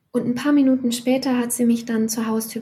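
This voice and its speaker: The tone is dark and mellow. The intonation is monotone and flat. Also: woman. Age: 40s. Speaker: freelance writer and author. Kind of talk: interview conversation.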